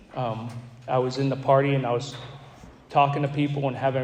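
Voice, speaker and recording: A man talks at a fairly quick pace and fairly high pitch in a monotone, flat intonation. Audible room echo and noticeable background noise fill the recording. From Florida, Gulf Coast. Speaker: recovery speaker. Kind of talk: testimony. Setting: stage with audience. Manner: halting, repeats words.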